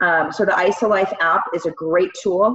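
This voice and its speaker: Speaking at a medium pitch and an even, moderate speed, the woman has an unremarkable speaking voice. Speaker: network marketing team leader. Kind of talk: training talk.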